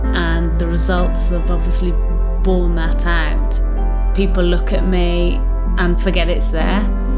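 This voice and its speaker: Clear music plays behind a woman who speaks at a very slow pace. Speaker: lung cancer patient. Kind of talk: interview answer. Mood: determined, hopeful, reflective. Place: home room.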